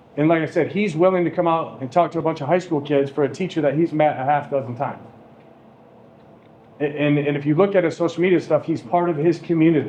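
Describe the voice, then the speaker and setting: A man talks at a very fast pace. His fairly high pitch carries fairly even intonation. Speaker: high school teacher. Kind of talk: classroom talk introducing a guest speaker. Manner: monotone.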